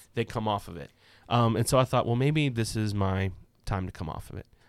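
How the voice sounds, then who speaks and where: A man speaks at a moderate pace with a medium pitch. His intonation is lively. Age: 30s. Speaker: podcast co-host sharing his personal story. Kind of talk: casual chat.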